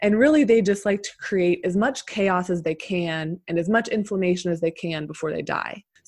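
An ordinary speaking voice: a woman with an American accent, medium pitch and ordinary pitch variation, leaving hardly any pauses. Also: moderate pace. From Pennsylvania. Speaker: naturopathic doctor. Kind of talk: interview.

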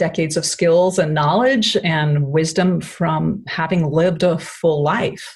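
A woman speaks very slowly in a fairly low, somewhat breathy voice with ordinary pitch variation. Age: middle-aged. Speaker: nutritionist and acupressure therapist. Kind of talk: interview conversation.

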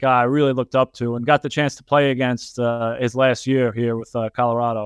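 A man with a New York accent talks at a fairly quick pace, his medium pitch held in fairly even intonation. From New York, Yonkers. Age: 30s. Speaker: professional soccer goalkeeper. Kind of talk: interview.

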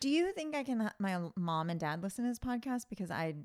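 On a very clean recording with a silent background, a woman talks at a very fast pace with very wide pitch swings. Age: 30s. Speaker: school psychologist and podcast co-host. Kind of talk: casual chat. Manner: frequent laughter.

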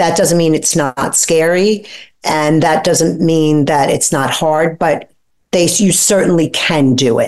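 With an American accent, a woman speaks at a very slow pace in a fairly low pitch, keeping her loudness very even and her pitch variation ordinary. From New York (Brooklyn). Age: 50s. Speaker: author, guest. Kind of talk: interview.

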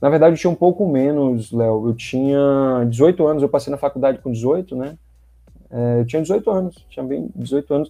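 In an ordinary speaking voice, a man talks at a moderate pace. His pitch is fairly high, with ordinary pitch variation. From Brazil, Bahia (Salvador). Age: 30s. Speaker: sales representative. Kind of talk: podcast interview.

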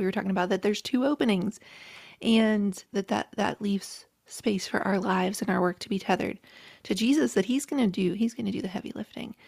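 Someone talks at a very fast pace with an American accent. The voice is somewhat breathy. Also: woman. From rural West Virginia, Appalachia. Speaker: author and podcaster. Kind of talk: casual interview.

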